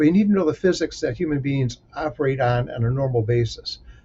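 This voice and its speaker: A man with an American accent talks at a fairly quick pace, somewhat breathy, with lively intonation. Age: 50s. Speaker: safety professional and mentor. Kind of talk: solo talk giving career advice.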